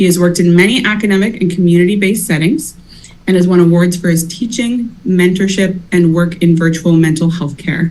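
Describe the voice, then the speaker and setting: A woman with an ordinary speaking voice talks at a fairly quick pace in a fairly low pitch. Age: 30s. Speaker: university accessibility advisor. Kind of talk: conference introduction. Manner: formal.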